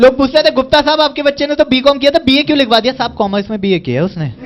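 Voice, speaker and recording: Extremely high-pitched male voice with ordinary pitch variation, a moderate pace and noticeable background noise. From India. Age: 20s. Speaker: stand-up comedian. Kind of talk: stand-up comedy set. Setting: live audience on stage. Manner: distinct speaking style.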